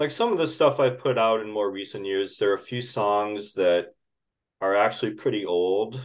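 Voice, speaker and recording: Over a quiet background, a man with an American accent talks at a moderate pace in a plain, everyday voice, medium in pitch with ordinary variation. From Minnesota. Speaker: indie rock musician. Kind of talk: interview.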